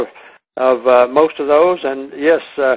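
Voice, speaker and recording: Using fairly even intonation, a man with an American accent talks at a moderate pace and a fairly high pitch. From Texas. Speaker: product seller hosting a conference call. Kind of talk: conference call Q&A. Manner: halting, many fillers and repeats.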